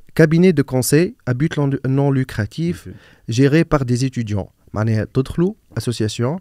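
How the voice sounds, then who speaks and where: The voice has a dark, mellow tone, lively intonation, a fairly quick pace and big swings in loudness, heard as a dry sound with no echo against a quiet background. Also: man. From Tunisia, Nabeul; Tunisia. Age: 30s. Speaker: digital marketer and business content creator; podcast host or guest. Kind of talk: casual interview chat. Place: studio. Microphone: studio mic.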